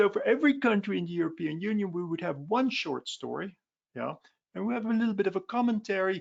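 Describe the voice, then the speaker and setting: Talking at a very fast pace with a Dutch accent, a man uses a high pitch and lively intonation. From Belgium, Flanders. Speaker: philosophy professor. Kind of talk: webinar presentation. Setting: online webinar. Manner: conversational with frequent fillers.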